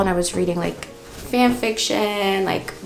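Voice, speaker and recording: A woman with an American accent at a moderate pace, with audible room echo and noticeable background noise. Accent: American-sounding English. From Netherlands. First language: Dutch. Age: 20s. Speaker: beauty and lifestyle vlogger. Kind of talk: casual chat while doing makeup. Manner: casual, filler-heavy.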